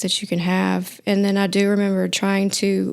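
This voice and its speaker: A woman's medium-pitched voice with a Mississippi accent at a moderate pace, on a very clean recording with a silent background. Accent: Southern US (Mississippi). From US South, Mississippi. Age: 30s. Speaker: recovering addict sharing testimony. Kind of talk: testimony in podcast interview.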